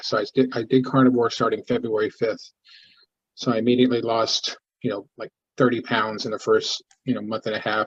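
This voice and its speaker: Speaking in a somewhat breathy, monotone, flat voice, a man delivers the lines. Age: 60s. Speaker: support group member sharing health story. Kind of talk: testimony. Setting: video call. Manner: halting, many false starts.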